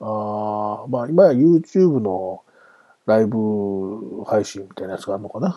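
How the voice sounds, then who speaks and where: Here is a man with an ordinary speaking voice, fairly low in pitch and fairly slow in pace. His intonation is lively, with big swings in loudness. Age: 40s. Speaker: sports podcast host. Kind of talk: farewell monologue. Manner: casual with frequent laughs.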